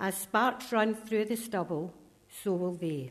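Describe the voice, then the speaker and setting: A woman speaks with a Scottish accent. Her pace is fairly slow. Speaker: scripture reader. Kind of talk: reading aloud of scripture. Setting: church.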